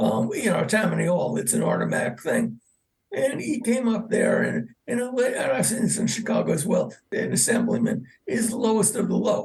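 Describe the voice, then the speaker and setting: A man with a New York accent, at a moderate pace. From New York City, the Bronx. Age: 70s. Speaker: historian, author. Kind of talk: interview.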